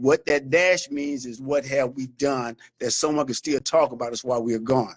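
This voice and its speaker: A man with an American accent speaks in a plain, everyday voice at medium pitch. His pace is moderate and his intonation fairly even. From Florida, US South. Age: 60s. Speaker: military veteran. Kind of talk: interview. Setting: live stream.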